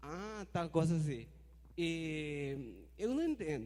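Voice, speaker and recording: This voice has a Spanish accent and a dark, mellow tone. Its pitch swings very widely. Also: man. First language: Spanish (speaking Portuguese). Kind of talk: audience question at forum.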